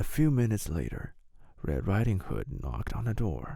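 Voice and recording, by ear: A man's dark, mellow voice, fairly low in pitch, with big pitch swings, vocal fry and a fairly slow pace.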